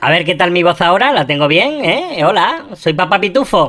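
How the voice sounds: Using a put-on character voice, a man sounds squeaky and high-pitched, keeping a moderate pace and very even loudness.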